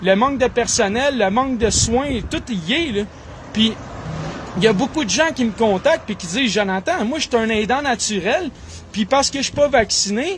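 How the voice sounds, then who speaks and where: Against noticeable background noise, a man with an extremely high voice speaks at a moderate pace in an animated tone with lively intonation. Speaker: political commentator. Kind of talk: political monologue.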